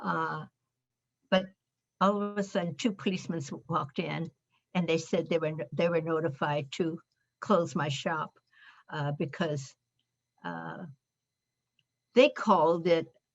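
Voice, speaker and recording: Speaking fairly slowly with an American accent, a woman with a fairly low pitch leaves long, frequent pauses while music plays in the background. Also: ordinary pitch variation. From Berkeley, California. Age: 80s+. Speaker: internment camp survivor. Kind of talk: interview answer.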